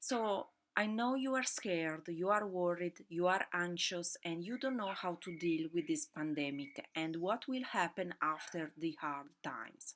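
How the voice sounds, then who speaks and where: A woman with an Italian accent speaks at a fairly slow pace with hardly any pauses. Her pitch is fairly low and her intonation lively. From Italy. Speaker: podcast host, fashion business owner. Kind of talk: solo podcast monologue. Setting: at home during lockdown. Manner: halting, many fillers. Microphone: laptop mic, audio not perfect.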